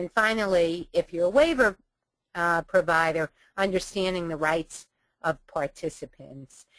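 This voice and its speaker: A woman with a fairly low pitch and an American accent, at a fairly slow pace. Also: ordinary pitch variation. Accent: New York City accent, stronger when tired. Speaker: webinar presenter, trainer. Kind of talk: webinar training presentation. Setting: webinar. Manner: frequent fillers (um, uh).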